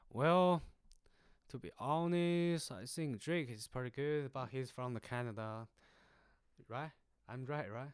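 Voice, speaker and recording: A man speaks with a Chinese accent and ordinary pitch variation. He leaves long, frequent pauses. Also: medium pitch for a man. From China. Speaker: university student. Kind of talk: casual interview chat.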